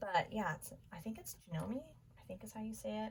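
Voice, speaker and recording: A woman's somewhat breathy voice with very wide pitch swings. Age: 30s. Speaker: craft YouTuber. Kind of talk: tutorial. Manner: casual, chatty.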